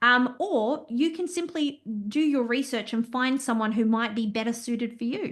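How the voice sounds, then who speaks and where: The voice is loud, with ordinary pitch variation and a moderate pace. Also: woman, high pitch for a woman. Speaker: business owner and compliance consultant. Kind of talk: interview. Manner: talkative.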